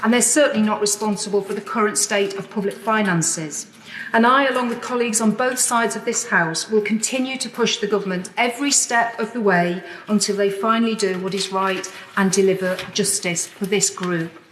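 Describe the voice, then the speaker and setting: Over noticeable background noise, a woman with a fairly high pitch speaks in a serious tone at a fairly quick pace, her pitch varying in an ordinary way. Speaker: member of parliament. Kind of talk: parliamentary speech. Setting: legislative chamber. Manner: serious, impassioned.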